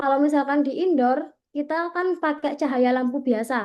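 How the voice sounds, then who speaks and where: Fairly even intonation over a quiet background. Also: woman. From East Java, Gresik. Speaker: content creation trainer. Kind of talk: training workshop presentation. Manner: casual, conversational.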